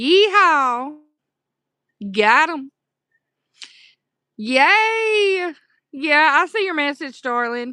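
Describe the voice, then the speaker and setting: In a Southern US accent, a woman raises and projects her high-pitched voice, its bright, sharp tone making very wide pitch swings at a very slow pace, with long, frequent pauses. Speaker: livestreamer. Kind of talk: casual chat. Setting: live stream.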